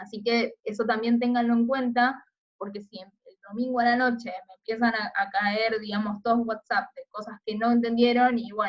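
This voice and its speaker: A woman's fairly high pitch in an ordinary speaking voice, with fairly even intonation at a moderate pace. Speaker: teacher. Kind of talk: recorded lecture.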